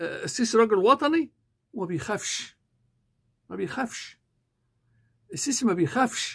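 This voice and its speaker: A man with an Egyptian accent and an extremely high pitch, in an animated tone, at a fairly slow pace, with very wide pitch swings, big swings in loudness, long, frequent pauses and a quiet background. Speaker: YouTuber and English teacher; political commentator. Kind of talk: political commentary monologue. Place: home room. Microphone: lapel.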